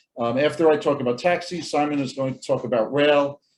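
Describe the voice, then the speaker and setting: A man with a New York accent speaks at a fairly quick pace in a fairly high pitch. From US, Brooklyn, New York. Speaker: transportation professor and lawyer. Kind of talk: conference presentation. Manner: fast.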